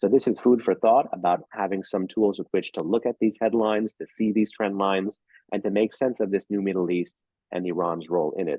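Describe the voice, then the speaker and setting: Talking at a fairly quick pace, a man with an American accent keeps a fairly low pitch and fairly even intonation. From New York. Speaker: think tank senior fellow, speaker. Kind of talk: lecture. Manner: fast.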